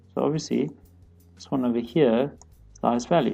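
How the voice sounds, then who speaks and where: The speech comes at a very fast pace. Music plays in the background. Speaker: student explaining maths. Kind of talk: tutorial. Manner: casual, hesitant.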